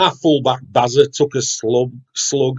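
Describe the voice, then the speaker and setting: Someone speaks in a somewhat breathy voice with a Yorkshire accent. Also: man. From West Yorkshire (Wakefield). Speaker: poet. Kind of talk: poetry reading; casual chat.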